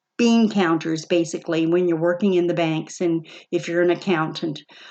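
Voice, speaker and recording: This is a woman's voice. Her pitch sits fairly low. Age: 60s. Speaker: personal finance video host, former bank worker. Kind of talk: casual commentary on a book. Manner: halting, with many fillers and repeats.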